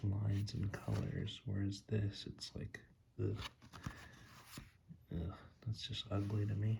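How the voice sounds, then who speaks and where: Soft-spoken and whispering, a man talks at a fairly slow pace in a relaxed tone with vocal fry. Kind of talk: tarot ASMR reading, improvised rambling. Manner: soft-spoken, whispering, relaxed.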